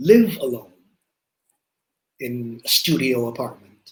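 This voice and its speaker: A man talks very slowly, his voice somewhat breathy. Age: 60s. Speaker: company founder and CEO. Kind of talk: interview.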